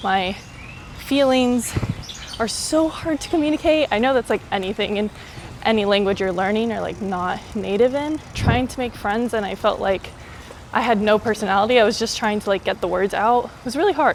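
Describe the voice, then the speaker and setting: Speech with an American accent at a moderate pace, over noticeable background noise. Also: woman, fairly high pitch for a woman, ordinary pitch variation. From US, Miami. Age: 20s. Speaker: travel vlogger. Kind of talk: casual vlog monologue. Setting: outdoors, riding a bike in a park. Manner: casual, lots of fillers.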